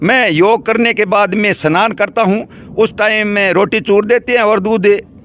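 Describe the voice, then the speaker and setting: A man speaks in a high pitch, his loudness very even and his intonation fairly even. Noticeable background noise is present. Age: 70s. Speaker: elderly villager. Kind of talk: interview.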